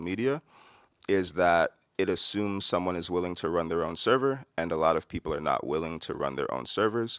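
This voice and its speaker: Heard in a very clean recording with a silent background and a dry, close sound with no echo, a man speaks at a fairly quick pace with a very deep, low pitch and ordinary pitch variation. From New York. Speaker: tech founder, panelist. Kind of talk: conference panel discussion. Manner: fast.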